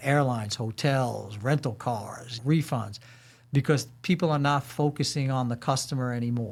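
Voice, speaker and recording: On a very clean recording with a silent background, a man speaks with an American accent at medium pitch, sounding somewhat breathy. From New York, Brooklyn. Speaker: corporate security leader and military veteran. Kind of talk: podcast interview. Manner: animated.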